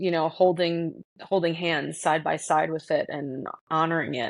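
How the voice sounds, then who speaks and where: Against a quiet background, a woman with a slight North Jersey accent speaks at a fairly slow pace and a fairly low pitch, in a monotone with flat intonation. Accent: slight North Jersey twang. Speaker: podcast host. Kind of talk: casual conversation.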